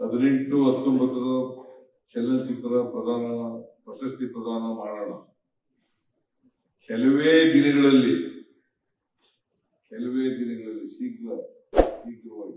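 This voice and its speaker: A man's medium-pitched voice, dark and mellow in tone, holds fairly even intonation while his loudness swings widely. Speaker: politician, chief minister. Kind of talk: public speech at awards ceremony. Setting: stage, PA system.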